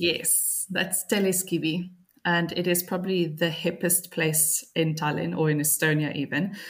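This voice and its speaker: A woman's fairly low, somewhat breathy voice, with a South African accent, monotone, flat intonation and a fairly slow pace. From Cape Town, South Africa. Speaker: copywriter, expat. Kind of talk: casual interview.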